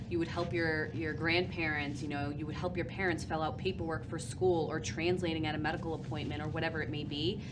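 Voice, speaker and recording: Through audible room echo and noticeable background noise, a woman speaks at a very deep, low pitch with fairly even intonation. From Portuguese family, US. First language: Portuguese. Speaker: family services worker. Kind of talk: interview.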